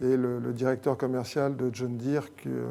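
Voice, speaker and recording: A man is speaking. His tone is dark and mellow. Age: 60s. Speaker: company president. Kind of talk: interview. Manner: hesitant, many fillers.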